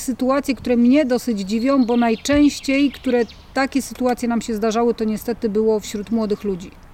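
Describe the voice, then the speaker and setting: The woman's high-pitched voice, with fairly even intonation, rises over noticeable background noise. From Mazovia, Poland. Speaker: park volunteer coordinator. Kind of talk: casual interview. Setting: volunteer lodge in the mountains.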